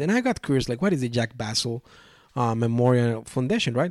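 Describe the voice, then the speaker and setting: On a very clean recording with a silent background, a man speaks with a Mexican accent. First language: Spanish. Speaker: board game podcast host. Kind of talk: solo podcast monologue. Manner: halting, many fillers and restarts.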